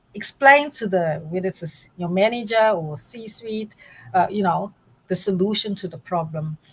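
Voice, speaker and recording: A woman talks with lively intonation. Her voice is somewhat breathy. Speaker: data science academic. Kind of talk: interview.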